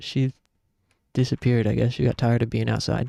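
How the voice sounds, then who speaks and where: A soft-spoken man at a moderate pace, with fairly even intonation and music in the background. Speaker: gaming streamer. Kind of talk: casual live-stream commentary.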